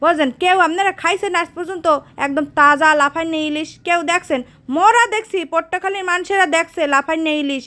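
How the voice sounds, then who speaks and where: A woman projects a raised voice at an extremely high pitch, her tone bright and sharp. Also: ordinary pitch variation. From Bangladesh, Patuakhali. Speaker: travel vlogger. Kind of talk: casual vlog narration. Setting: outdoors. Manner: animated.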